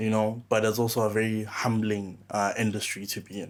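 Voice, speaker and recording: There is a silent background on a very clean recording. The delivery is fairly slow. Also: man. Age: 20s. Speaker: young farmer. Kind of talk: interview. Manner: halting, many fillers.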